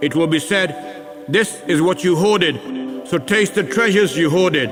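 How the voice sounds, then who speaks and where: Music plays behind a man whose voice is high in pitch, with ordinary pitch variation and a moderate pace. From Pakistan-born British. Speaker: actor. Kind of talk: scripture reading.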